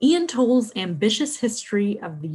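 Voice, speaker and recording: A woman's somewhat breathy voice at a moderate pace, with very wide pitch swings. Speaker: librarian. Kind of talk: scripted book recommendations.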